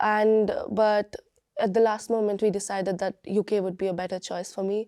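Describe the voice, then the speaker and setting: The voice has a Bengali accent and a dark, mellow tone. Delivery is monotone and flat, with a dry, close sound and no echo. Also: woman, medium pitch for a woman, moderate pace. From India, Bangalore. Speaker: university student. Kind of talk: interview testimony. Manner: halting, many fillers and restarts.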